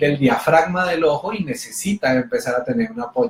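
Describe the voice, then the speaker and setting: Lively intonation marks a man's high-pitched voice at a moderate pace. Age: 40s. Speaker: motivational speaker. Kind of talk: motivational talk. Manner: animated.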